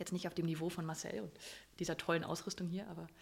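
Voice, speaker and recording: This woman talks very fast in a fairly low, flat monotone with vocal fry. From Germany, northern Hesse. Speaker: business owner and coach. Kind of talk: interview. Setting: recorded in a restaurant.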